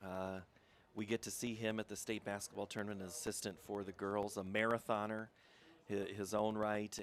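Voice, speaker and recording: A man with a plain, everyday voice and fairly low pitch talks at a moderate pace, the sound dry and close with no echo. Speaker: play-by-play sports announcer. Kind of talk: live commentary.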